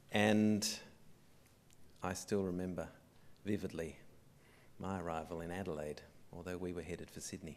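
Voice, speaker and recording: With audible room echo, a man with a very deep, low pitch speaks in fairly even intonation, leaving long, frequent pauses. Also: moderate pace. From Australia, arrived from England at age six. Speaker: museum director. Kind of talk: opening speech. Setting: theatre with live audience. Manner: formal.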